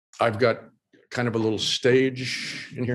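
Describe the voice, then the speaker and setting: With an American accent, a man talks at a moderate pace in an unremarkable speaking voice at medium pitch against a quiet background. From Oklahoma. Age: 60s. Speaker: illustrator and designer. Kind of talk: casual interview. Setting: video call.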